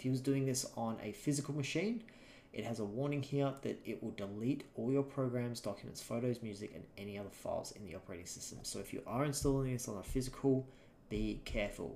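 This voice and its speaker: A man with an Australian accent, medium-pitched and dark, mellow in tone, very fast, with ordinary pitch variation. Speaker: software instructor. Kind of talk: tutorial. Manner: casual, conversational.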